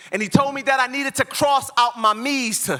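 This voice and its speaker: With music playing behind him, a man uses a raised, projected voice at an extremely high pitch, with ordinary pitch variation. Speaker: spoken word poet. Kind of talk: live spoken word poetry performance. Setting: live conference stage.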